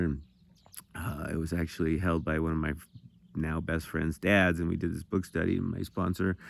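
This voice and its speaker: In an American accent, a man talks at a fairly quick pace with a very deep, low pitch and monotone, flat intonation. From Montana. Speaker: recovering addict sharing testimony. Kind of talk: testimony. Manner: fast; halting, repeating words.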